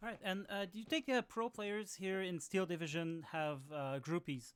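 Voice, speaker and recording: Her voice is an ordinary speaking voice, a woman's at medium pitch. She talks at a moderate pace with lively intonation. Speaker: gaming channel host interviewer. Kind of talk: podcast-style interview questions.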